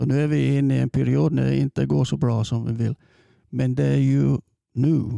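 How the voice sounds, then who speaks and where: Delivered at a moderate pace with an English accent, the voice has a dry, close sound with no echo. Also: man. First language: English (speaking Swedish). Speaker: football coach. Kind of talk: interview. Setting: studio. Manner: halting.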